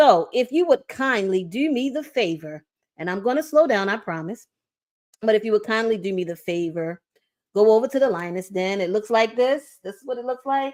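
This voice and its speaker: A woman speaks with a fairly high pitch at a moderate pace. Her intonation is lively and her tone is animated. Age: 40s. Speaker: show host and producer. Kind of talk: live stream opening. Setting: live stream.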